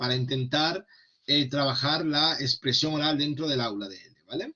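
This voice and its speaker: A man's fairly high voice. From Extremadura, Spain. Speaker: Spanish language teacher trainer. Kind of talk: online workshop lecture. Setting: online video session. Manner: hesitant with fillers and repetitions.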